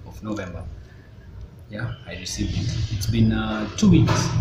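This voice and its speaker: A man is speaking. Noticeable background noise runs behind him. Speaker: vlogger. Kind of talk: casual vlog chat. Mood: mildly frustrated about delivery. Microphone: phone near.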